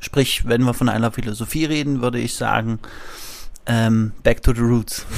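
Noticeable background noise runs behind a man at a moderate pace. His pitch is medium and his intonation is monotone and flat. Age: 30s. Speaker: physiotherapist. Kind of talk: interview.

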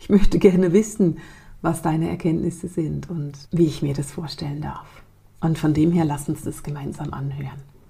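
A woman speaks at a moderate pace in a very deep, low, dark and mellow voice that is somewhat breathy, with fairly even intonation and big swings in loudness. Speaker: spiritual podcast host and coach. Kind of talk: podcast narration. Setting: studio.

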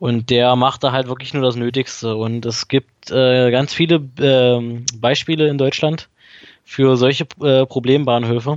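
Speaking at a fairly slow pace, a man keeps a medium pitch and a monotone, flat intonation. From Saxony-Anhalt, near Magdeburg. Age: 20s. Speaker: daily rail commuter, student. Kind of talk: casual podcast conversation. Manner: hesitant, many filler sounds.

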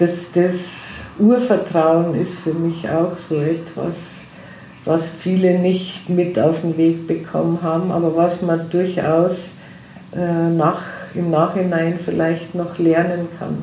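A woman speaks very slowly in a flat monotone at a fairly low pitch. The room echo is audible and there is noticeable background noise. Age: 60s. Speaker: hypnotherapist. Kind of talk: interview.

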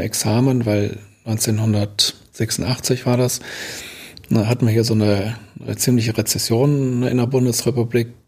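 Speaking very slowly in a medium pitch, a man sounds somewhat breathy, his intonation monotone and flat. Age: 60s. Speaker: building damage expert and lecturer. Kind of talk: interview conversation.

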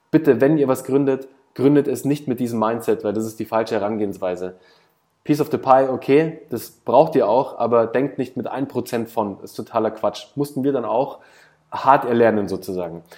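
A man of medium pitch with a dark, mellow tone speaks at a moderate pace with ordinary pitch variation. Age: 30s. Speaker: startup founder and business consultant. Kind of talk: casual interview. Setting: video call.

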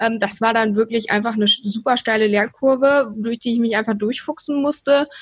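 Fairly high in pitch with ordinary pitch variation, this woman has a plain, everyday voice. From Rhineland, Germany. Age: 20s. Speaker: PR consultant and mentor. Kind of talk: podcast interview.

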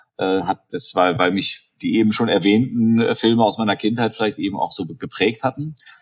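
Delivered at a moderate pace with hardly any pauses, the speech shows ordinary pitch variation. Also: man, medium pitch for a man. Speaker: film producer. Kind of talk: interview. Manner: hesitant, many fillers.

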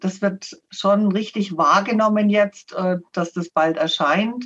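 Somewhat breathy, a woman speaks at medium pitch. Her pace is very slow. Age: 60s. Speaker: financial adviser and author. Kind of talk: interview.

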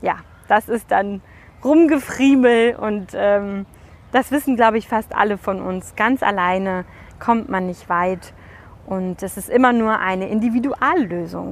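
A normal speaking voice goes at a fairly slow pace. Its pitch varies in an ordinary way. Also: woman, medium pitch for a woman. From Germany. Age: 30s. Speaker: podcast host, event support entrepreneur. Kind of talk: solo monologue podcast. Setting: outdoors in a park.

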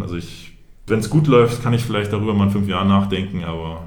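A man talking very fast at a fairly low pitch, with audible room echo. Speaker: basketball referee. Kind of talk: casual interview.

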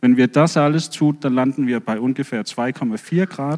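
In a dry, close sound with no echo, a man speaks fairly slowly. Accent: Danish. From Denmark. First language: Danish (speaking German). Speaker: marine biologist, professor. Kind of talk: lecture talk with slides.

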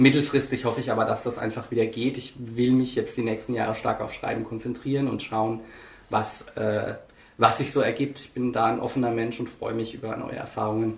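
The voice is somewhat breathy, with monotone, flat intonation. Room echo is audible. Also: man, medium pitch for a man, fairly quick pace. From Lower Franconia, Germany (Lohr am Main). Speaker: author. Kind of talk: interview.

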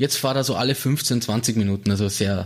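A slightly breathy male voice moves through ordinary shifts in pitch. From Austria, Salzburg city. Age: 30s. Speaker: automotive industry researcher. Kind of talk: interview. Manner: halting.

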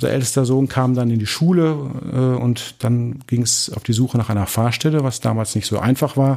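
A man's normal speaking voice at medium pitch, with fairly even intonation, a moderate pace and hardly any pauses. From Dortmund, Germany. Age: 40s. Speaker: pastor. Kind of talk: interview.

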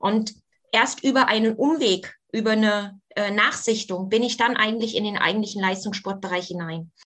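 With an ordinary speaking voice, a woman speaks at a moderate pace and fairly high pitch, her intonation fairly even. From East Germany. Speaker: former aerobics champion and fitness coach. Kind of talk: interview.

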